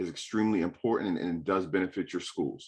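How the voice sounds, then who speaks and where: A man with a New York accent speaks at a fairly low pitch in a very clean recording with a silent background. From New York City. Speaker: state financial aid representative. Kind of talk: panel presentation. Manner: fast; animated.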